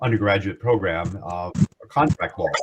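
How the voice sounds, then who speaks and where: With an American accent, a man speaks at a fairly low pitch, somewhat breathy, with ordinary pitch variation. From United States. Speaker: law professor. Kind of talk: guest lecture. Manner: halting, many fillers.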